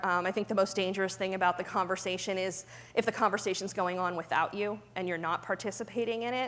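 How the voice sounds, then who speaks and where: Her delivery is very fast, with fairly even intonation. The woman speaks at a medium pitch. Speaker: pharma compliance director. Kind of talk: conference talk with Q&A. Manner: many fillers (um, you know).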